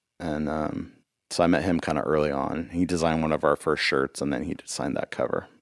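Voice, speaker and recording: Talking very fast in a flat monotone, a man with an American accent has a very deep, low pitch and vocal fry. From Los Angeles, California. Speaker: musician and podcast host. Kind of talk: casual chat.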